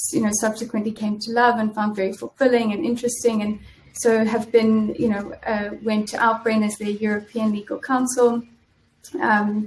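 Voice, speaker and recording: Flat, monotone intonation runs through speech at a moderate speed. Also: woman, fairly high pitch for a woman. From South Africa. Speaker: in-house lawyer. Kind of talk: interview. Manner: halting, many fillers.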